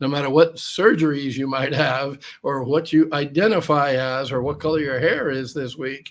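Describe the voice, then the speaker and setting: A man with an ordinary speaking voice and an American accent, fairly high in pitch, with fairly even intonation at a moderate pace. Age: 60s. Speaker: expat guest. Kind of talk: casual interview chat.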